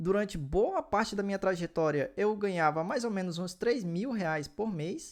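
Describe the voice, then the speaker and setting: Lively intonation carries the speech at a moderate pace with hardly any pauses, on a very clean recording with a silent background. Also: man, high pitch for a man. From northern Brazil, small inland town. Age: 20s. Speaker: finance YouTuber. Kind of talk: personal finance vlog.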